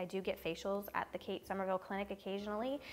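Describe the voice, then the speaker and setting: Soft-spoken, a woman talks at a medium pitch. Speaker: beauty vlogger. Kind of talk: casual chat.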